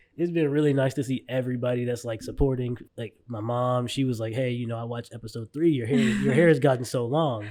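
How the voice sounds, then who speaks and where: The voice has a dark, mellow tone and fairly even intonation, delivered at a very fast pace. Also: man, medium pitch for a man. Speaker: podcast co-host. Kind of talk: casual chat. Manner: talkative.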